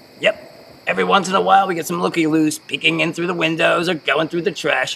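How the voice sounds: A put-on character voice at a fast pace, bright and sharp in tone with a slightly husky edge, vocal fry and fairly even intonation. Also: man, fairly high pitch for a man.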